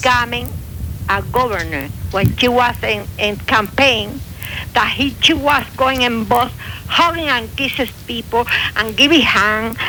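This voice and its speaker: With a strong Cuban accent, a woman speaks at a very slow pace and a high pitch, her loudness very even over noticeable background noise. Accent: heavy Cuban Spanish. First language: Spanish. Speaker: radio show caller.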